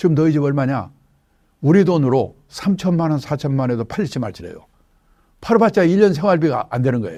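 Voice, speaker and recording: A man's dark, mellow voice at a fairly quick pace, with lively intonation against a quiet background. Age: 70s. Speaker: retirement finance expert. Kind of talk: interview.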